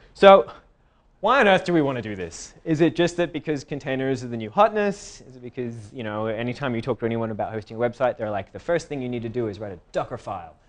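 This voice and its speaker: In an American accent, a man races along at a very fast pace, his pitch swinging very widely and his loudness rising and falling sharply. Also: medium pitch for a man. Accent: Australian, with some American. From Australia. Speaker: tech conference speaker. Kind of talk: tech talk.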